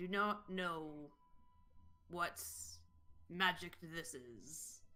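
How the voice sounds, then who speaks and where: A put-on character voice at middle pitch moves along at a very slow pace. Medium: actual play. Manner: formal, without contractions.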